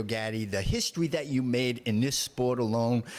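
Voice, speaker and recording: Here a man speaks with a Boston accent. His pitch is medium and his pace moderate. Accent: Boston Southie. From South Boston. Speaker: podcast host, former boxer. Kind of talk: casual interview chat.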